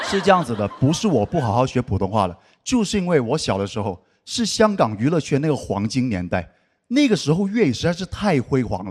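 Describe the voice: On a very clean recording with a silent background, a man speaks at a fairly quick pace in a fairly high voice with very wide pitch swings.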